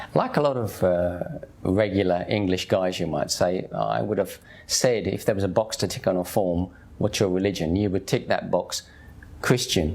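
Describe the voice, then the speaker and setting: With a Cockney accent, a man speaks at a moderate pace in a very deep, low voice with ordinary pitch variation. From East End of London, Hackney. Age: 50s. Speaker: convert to Islam sharing his story. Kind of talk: personal testimony. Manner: casual, conversational.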